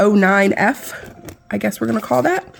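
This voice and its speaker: A woman talks at a fairly high pitch with ordinary pitch variation. There is noticeable background noise. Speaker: nail product reviewer. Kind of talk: product unboxing review. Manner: animated.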